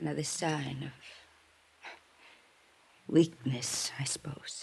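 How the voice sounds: A woman's put-on character voice, low-pitched and slow, with a husky, rough edge, vocal fry, a slightly mellow tone and fairly even intonation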